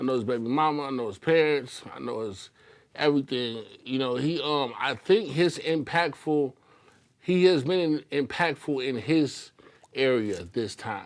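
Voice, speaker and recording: Speaking at a fairly slow pace, a man with a plain, everyday voice uses lively intonation. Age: 50s. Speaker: talk show co-host. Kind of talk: casual chat.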